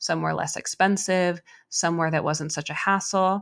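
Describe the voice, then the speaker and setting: A normal speaking voice at a moderate pace, with fairly even intonation over a quiet background. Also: woman. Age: 30s. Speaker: podcast co-host. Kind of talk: casual chat.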